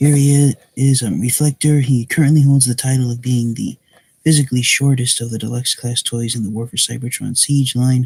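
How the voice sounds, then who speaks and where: A man's somewhat breathy voice at a moderate pace, in monotone, flat intonation, with dry, close sound and no echo. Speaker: toy reviewer. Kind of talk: product review. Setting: live stream at home at night. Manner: soft-spoken.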